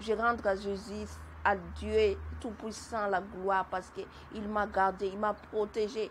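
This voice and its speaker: The woman's voice is somewhat breathy. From Madagascar. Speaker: testimony giver. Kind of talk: testimony. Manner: halting, repeats words.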